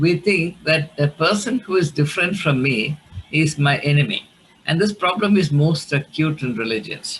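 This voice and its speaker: A man with a Keralan accent speaks at a moderate pace and a fairly high pitch. His intonation is lively. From India, Kerala. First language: Malayalam. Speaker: theologian and academic. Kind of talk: lecture. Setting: video call. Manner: halting.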